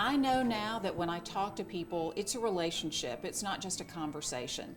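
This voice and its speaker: A loud woman's voice at a fairly quick pace with very wide pitch swings, audible room echo and music in the background. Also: medium pitch for a woman. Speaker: former TV reporter, downtown development director. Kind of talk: casual interview. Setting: station party. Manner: enunciates clearly.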